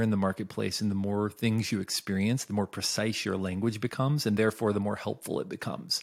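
A man with a fairly low pitch talks in a normal speaking voice at a moderate pace. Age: 40s. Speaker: author and creativity consultant. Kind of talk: casual interview. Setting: video call.

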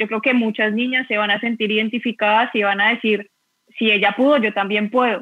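The speech moves at a fairly quick pace in a flat monotone, its loudness very even throughout. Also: woman, fairly high pitch for a woman. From Colombia, Bogotá. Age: 30s. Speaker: professional footballer and conversation moderator. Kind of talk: casual chat.

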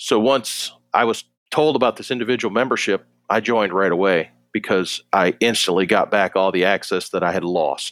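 A man with an American accent speaks in a plain, everyday voice at a moderate pace with ordinary pitch variation and very even loudness, in a very clean, dry, close recording with a silent background and no echo. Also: fairly low pitch for a man. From Western New York. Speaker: water treatment advisor, Navy veteran. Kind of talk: casual interview.

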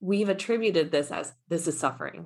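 In an American accent, a woman with an unremarkable speaking voice talks at a moderate pace and medium pitch with lively intonation. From US South, Mississippi family. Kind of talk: interview conversation.

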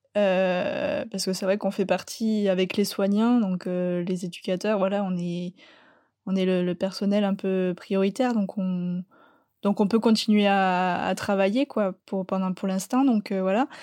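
A woman's medium-pitched, dark, mellow voice at a very slow pace, with fairly even intonation. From southwest France, Landes. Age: young. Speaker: student. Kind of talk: remote interview. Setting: remote call.

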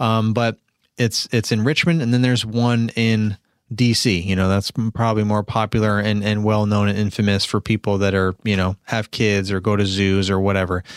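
In an American accent, the speaker keeps a moderate pace, fairly even intonation and very even loudness, sounding dry and close with no echo on a very clean recording with a silent background. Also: man, fairly low pitch for a man. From New York. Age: 40s. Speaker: podcast host, lawn care business owner. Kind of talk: casual solo podcast monologue. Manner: rambling, many fillers and restarts.

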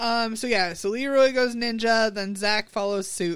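This woman has an unremarkable speaking voice. She speaks at a fairly slow pace with fairly even intonation. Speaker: podcast co-host. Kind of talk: casual chat.

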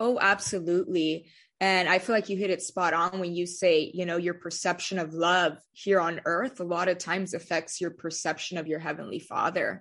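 With an American accent, a woman talks at a moderate pace and a fairly low pitch, her intonation fairly even. She hardly pauses, and the background is quiet. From California, Central Valley. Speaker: youth ministry leader. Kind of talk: testimony.

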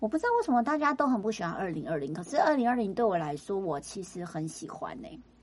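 Speaking very fast with hardly any pauses, a woman uses a fairly high pitch with very wide pitch swings and big swings in loudness, all over noticeable background noise. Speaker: podcast co-host, entertainment and arts industry worker. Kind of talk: casual chat.

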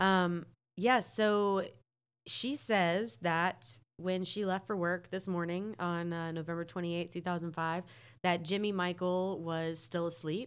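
In a very clean recording with a silent background, a woman with an American accent has a normal speaking voice, fairly low in pitch, with ordinary pitch variation at a fairly slow pace. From North Carolina. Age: 30s. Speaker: podcast guest. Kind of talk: casual chat.

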